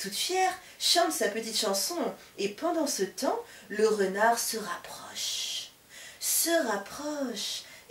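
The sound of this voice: An unforced reading voice that moves through lively, bouncing intonation.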